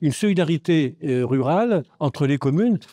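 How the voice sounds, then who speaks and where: A man with a fairly high pitch and a dark, mellow tone speaks at a moderate pace with lively intonation. The sound is dry and close with no echo, over a quiet background. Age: 80s+. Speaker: audience member, former village mayor. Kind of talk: audience comment at panel debate. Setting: festival round table with audience. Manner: halting, many repetitions.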